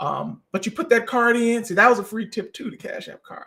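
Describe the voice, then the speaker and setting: Talking at a fairly quick pace, a man uses an extremely high pitch. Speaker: credit repair expert. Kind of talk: online presentation / tutorial. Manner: fast.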